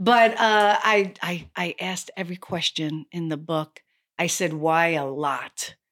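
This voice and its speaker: An unremarkable speaking voice with an American accent comes through in a dry, close sound with no echo. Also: woman, fairly low pitch for a woman, ordinary pitch variation, fairly slow pace, very clean recording, silent background. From New York City, Lower East Side. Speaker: actress and yoga instructor. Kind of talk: casual chat.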